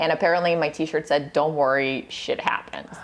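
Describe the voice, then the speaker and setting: A woman speaks with a Russian accent over noticeable background noise. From Russia, moved to US at twelve. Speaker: nutritionist. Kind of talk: casual interview chat. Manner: animated.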